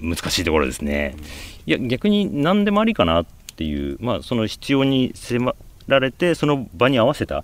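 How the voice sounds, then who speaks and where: This man speaks at a moderate pace in a medium pitch. His voice makes very wide pitch swings. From Japan, Aichi (Nagoya suburbs). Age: 50s. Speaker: magazine editor-in-chief. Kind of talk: interview.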